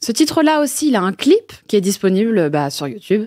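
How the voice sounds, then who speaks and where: A woman speaks at a moderate pace with a fairly high pitch that moves in very wide swings. The sound is dry and close, with no echo. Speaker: radio podcast host. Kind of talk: radio interview questions.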